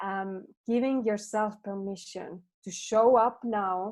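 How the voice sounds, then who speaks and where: A woman with a non-native accent speaks in a fairly high voice with fairly even intonation. The background is quiet. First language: not English. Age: 30s. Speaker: transformation coach. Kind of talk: podcast interview.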